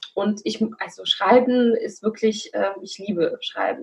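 A woman talks at a moderate pace. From Belarus. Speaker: coach and podcaster. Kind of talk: interview.

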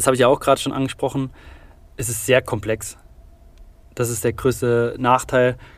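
Speaking at a moderate pace with long, frequent pauses, a man holds a medium pitch in a monotone, flat delivery. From Saarland, Germany. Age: 20s. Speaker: construction digitalization expert. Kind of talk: interview.

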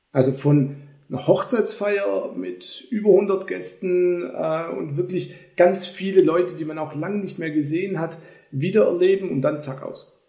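A high-pitched man's voice at a fairly slow pace, ordinary pitch variation and big swings in loudness, with audible room echo. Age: 40s. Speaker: company executive. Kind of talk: casual chat.

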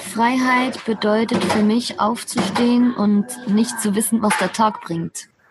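A woman speaks at a very slow pace with fairly even intonation over noticeable background noise. Her pitch is fairly high. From Switzerland. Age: 30s. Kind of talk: casual interview. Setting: video call from a café.

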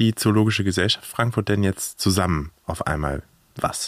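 A man keeps a moderate pace, his voice captured with a dry, close sound and no echo. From Germany, Hannover. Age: 30s. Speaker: podcast host. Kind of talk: casual chat. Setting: outdoors at a zoo.

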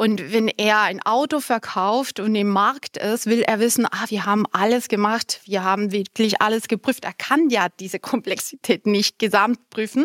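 With hardly any pauses, a woman of fairly high pitch talks with ordinary pitch variation in a dry, close sound with no echo. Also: moderate pace. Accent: Spanish. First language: Spanish (speaking German). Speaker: compliance department head. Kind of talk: interview.

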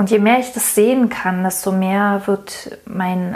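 A woman speaks at a very slow pace in a medium pitch. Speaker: podcast host, marketing coach. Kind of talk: solo podcast monologue. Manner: hesitant with many fillers.

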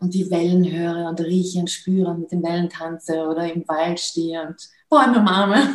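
The voice has a dark, mellow tone, sounds somewhat breathy, and keeps a moderate pace. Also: woman. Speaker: film producer and awakening coach. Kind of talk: interview. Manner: halting, many fillers.

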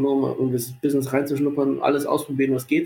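A man's fairly high pitch in a monotone, flat intonation. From Munich, Bavaria. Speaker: sports marketing and event manager. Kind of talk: casual interview.

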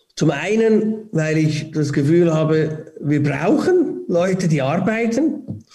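Hardly pausing at all, a man with a high-pitched voice speaks at a very slow pace, his intonation lively and his loudness very even. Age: 40s. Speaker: airport ground-handling CEO. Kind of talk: casual interview. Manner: halting, many repetitions.

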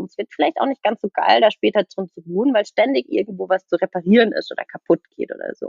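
A plain, everyday voice. A woman with a fairly high pitch speaks at a fairly quick pace with lively intonation. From southwest Germany, near Freiburg. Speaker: nutrition coach. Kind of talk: casual podcast interview.

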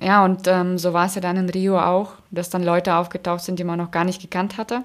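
A woman speaks with a fairly low pitch at a moderate pace. Her intonation is monotone and flat in a very clean recording with a silent background. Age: 20s. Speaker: Paralympic swimmer. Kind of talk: interview.

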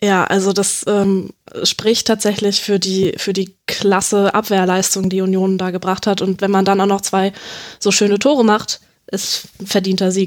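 Her intonation stays monotone and flat as a woman talks at a medium pitch. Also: fairly slow pace. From Hanover, Germany. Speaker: freelance sports journalist. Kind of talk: casual football analysis chat. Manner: hesitant, many fillers.

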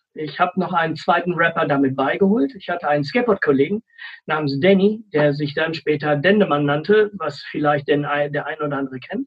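Ordinary pitch variation runs through a man's speech at a moderate pace. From Sauerland, Germany. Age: 40s. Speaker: social worker and former rapper. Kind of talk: casual interview.

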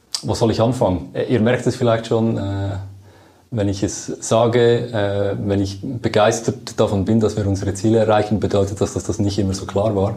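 Speaking at a moderate pace, a man uses an ordinary speaking voice, fairly low in pitch, with fairly even intonation. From Switzerland, Lucerne. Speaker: project manager. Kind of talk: interview.

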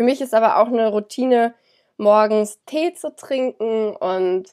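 This woman has a fairly high voice with ordinary pitch variation. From Germany, Cologne. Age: 20s. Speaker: yoga teacher and student. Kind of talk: interview.

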